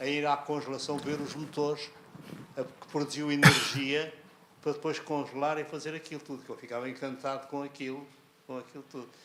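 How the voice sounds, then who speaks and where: Speaking at a fairly quick pace, a man uses a fairly high pitch and a monotone, flat intonation. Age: 80s+. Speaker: elderly local interviewee. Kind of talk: reminiscing interview conversation.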